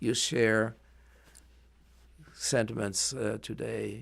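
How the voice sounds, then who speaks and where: A man with a German accent at a very slow pace, in a very clean recording with a silent background. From Germany. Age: 80s+. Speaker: Holocaust survivor, retired librarian. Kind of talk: oral history interview. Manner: halting.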